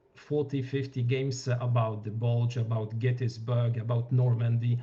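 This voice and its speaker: Somewhat breathy speech in a Polish accent, dark and mellow in tone, monotone and flat, at a moderate pace. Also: man. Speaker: wargame reviewer. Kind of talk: panel discussion. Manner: halting.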